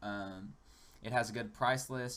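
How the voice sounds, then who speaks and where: Pitch variation is ordinary here. The voice is a man's. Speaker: gaming YouTuber. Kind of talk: gameplay tutorial commentary. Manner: fast; casual with many fillers (um, like).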